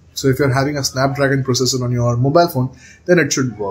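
A man speaks fairly quickly and somewhat breathily, his intonation fairly even. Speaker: tech channel host. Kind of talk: tutorial intro to camera. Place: home room. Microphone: phone near.

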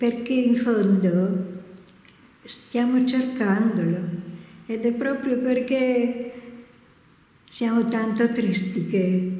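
A fairly high-pitched woman speaks at a very slow pace, with long, frequent pauses and very even loudness. Her intonation is fairly even, and the room echo is audible. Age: 80s+. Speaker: cloistered nun. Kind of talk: interview answer.

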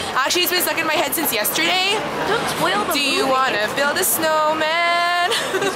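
A woman talks at a moderate pace with crowd noise in the background. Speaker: vlogger. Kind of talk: casual vlog chat. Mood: cheerful, chatty. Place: street. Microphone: phone near.

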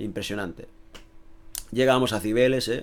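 A man at a very fast pace. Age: 30s. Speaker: youtuber. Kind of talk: casual vlog monologue. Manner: animated.

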